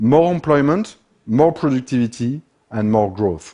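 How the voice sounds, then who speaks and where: A man speaks at a fairly slow pace with a medium pitch. His tone is dark and mellow, with very wide pitch swings. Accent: French. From France. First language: French. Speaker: speaker on manufacturing and economics. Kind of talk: talk to an audience.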